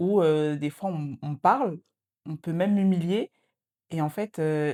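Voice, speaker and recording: Heard in a dry, close sound with no echo, a woman with a fairly low pitch and a dark, mellow tone speaks at a very slow pace. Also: ordinary pitch variation. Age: 20s. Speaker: student and social media creator. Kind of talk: casual podcast chat. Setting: podcast recording. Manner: hesitant, many filler sounds.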